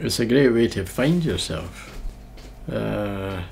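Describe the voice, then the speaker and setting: A man speaks with a Scottish accent at a fairly low pitch. Audible room echo surrounds his voice. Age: 60s. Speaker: person living with MS, former nurse. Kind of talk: documentary interview.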